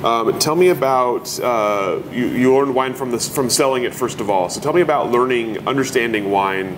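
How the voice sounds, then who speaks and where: Noticeable background noise sits behind a man whose medium pitch varies in an ordinary way. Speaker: oral history interviewer. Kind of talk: oral history interview. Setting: at the winery.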